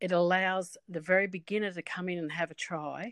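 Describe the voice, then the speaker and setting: Against a quiet background, a woman talks at a moderate pace with fairly low pitch and ordinary pitch variation, the sound dry and close with no echo. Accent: Australian. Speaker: horse sport organiser. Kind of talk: interview.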